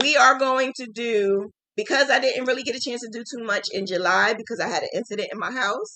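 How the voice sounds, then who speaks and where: In a New Jersey accent, this voice has a bright, sharp tone and moves at a moderate pace. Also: woman. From New Jersey, Jersey City. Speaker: crochet teacher. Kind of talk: live stream chat.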